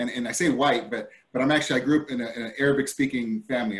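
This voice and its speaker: A man speaks at a very fast pace with an American accent. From California (Stockton). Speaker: school board candidate. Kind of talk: candidate forum statement. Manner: halting, many repetitions and fillers; hurried.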